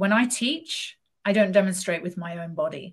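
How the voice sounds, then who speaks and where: A woman speaks at a fairly slow pace with lively intonation and a somewhat breathy quality. The background is quiet. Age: 50s. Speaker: yoga teacher. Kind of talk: casual chat.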